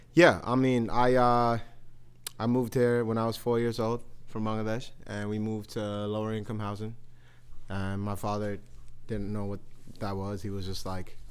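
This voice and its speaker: In a New York accent, a man speaks at a moderate pace and a fairly low pitch, his intonation monotone and flat, with long, frequent pauses and audible room echo. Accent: New York City. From Queens, New York. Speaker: rapper. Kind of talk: live podcast interview. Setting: live podcast on a university campus with audience.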